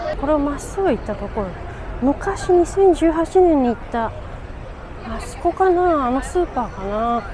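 Over crowd noise in the background, a woman speaks at a high pitch with very wide pitch swings. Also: fairly quick pace, big swings in loudness. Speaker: poet. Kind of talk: casual vlog talk to camera.

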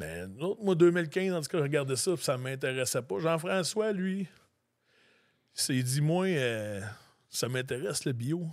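A man's fairly high voice at a fairly slow pace, with lively intonation, long and frequent pauses, and a very clean recording over a silent background. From Quebec, Lanaudière. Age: 40s. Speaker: grain farmer. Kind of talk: casual interview.

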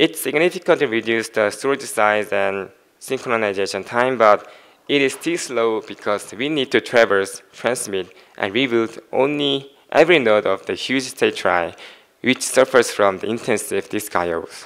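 Over a quiet background, a man's pitch varies in an ordinary way as he talks at a moderate pace. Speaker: conference presenter. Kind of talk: technical talk. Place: stage.

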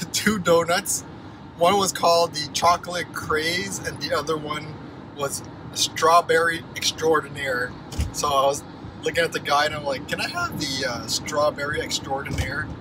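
Long, frequent pauses break up the fairly even intonation. The sound is dry with no echo, over noticeable background noise. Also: man. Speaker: vlogger. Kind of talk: casual vlog chat. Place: car. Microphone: phone near.

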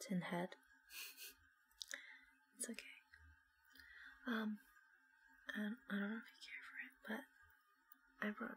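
Soft-spoken and gentle in tone, a woman talks at a moderate pace with long, frequent pauses over light background noise. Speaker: ASMR creator. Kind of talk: ASMR roleplay, soft spoken. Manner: soft-spoken, gentle, comforting. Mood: comforting, warm. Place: home room. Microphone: earbuds.

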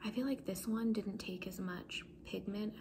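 A soft-spoken voice moves at a fairly slow pace over noticeable background noise. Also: woman. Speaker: beauty vlogger. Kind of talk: casual vlog chat. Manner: soft-spoken, hushed ASMR voice. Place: home room. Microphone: phone near.

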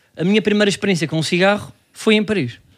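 A man speaks at a fairly quick pace in a very clean recording with a silent background. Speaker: comedy podcast co-host. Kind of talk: casual chat.

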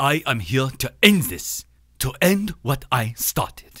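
A man puts on a cartoonish character voice at medium pitch. His pitch swings very widely as he talks at a fairly slow pace. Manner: slow, formal, menacing.

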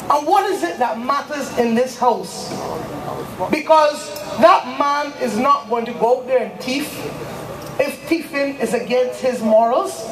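A woman's high voice at a fairly slow pace, with ordinary pitch variation, big swings in loudness, long, frequent pauses and noticeable background noise. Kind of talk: political rally speech.

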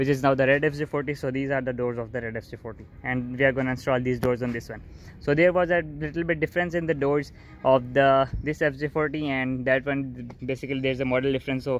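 A man speaks at a very fast pace with fairly even intonation. The sound is dry with no echo, and music plays in the background. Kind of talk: casual vlog chat. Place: garage. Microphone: phone near.

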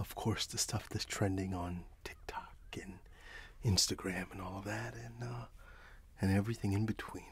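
A soft-spoken man talks with a very deep, low pitch, vocal fry and ordinary pitch variation. The sound is dry with no echo, with light background noise. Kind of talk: role-play conversation to camera. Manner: soft-spoken ASMR shopkeeper voice. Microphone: webcam.

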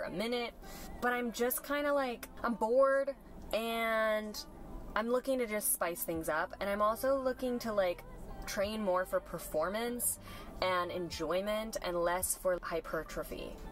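Her intonation lively, a woman speaks at a fairly slow pace. The sound is dry with no echo, over light background noise. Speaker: fitness content creator. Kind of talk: casual vlog chat. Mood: reflective, candid. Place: car. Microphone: camera far.

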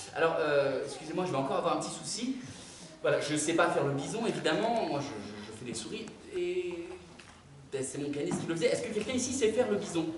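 Talking very fast, a man is heard with audible room echo and noticeable background noise. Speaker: storyteller performer. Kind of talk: theatrical storytelling to children. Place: stage. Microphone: camera far.

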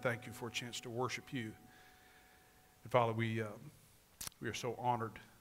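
A man at a fairly quick pace with monotone, flat intonation over faint background music. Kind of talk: call to worship and spoken prayer. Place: church.

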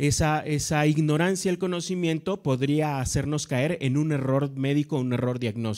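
In a quiet background, a man with a normal speaking voice and a fairly high pitch talks at a moderate pace with ordinary pitch variation. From Mexico. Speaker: veterinary professor. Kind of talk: lecture. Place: hall. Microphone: handheld.

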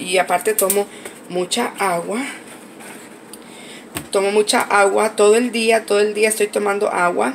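Over faint background noise, a woman speaks nasally at a moderate pace, her medium pitch fairly even, with vocal fry.

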